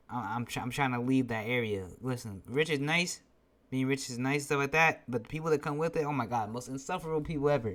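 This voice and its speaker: A man speaks very fast at a medium pitch. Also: ordinary pitch variation, very clean recording, silent background. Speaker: YouTube commentator. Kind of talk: casual commentary vlog. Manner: halting, many self-repetitions; casual, conversational.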